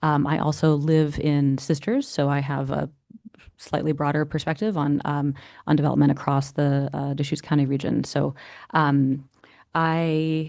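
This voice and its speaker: This woman has a very deep, low pitch and a monotone, flat intonation. She talks at a moderate pace. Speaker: builders association government affairs advocate. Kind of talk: public meeting presentation. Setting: planning commission meeting. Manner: quiet.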